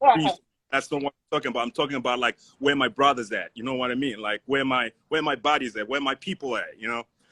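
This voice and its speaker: A man of medium pitch with an African accent speaks at a very fast pace with ordinary pitch variation. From Zimbabwe. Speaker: voice actor and film student. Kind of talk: casual discussion. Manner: halting, many fillers.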